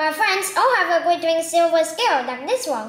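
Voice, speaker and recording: A woman's squeaky, put-on character voice at an extremely high pitch and a fairly quick pace. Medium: read story.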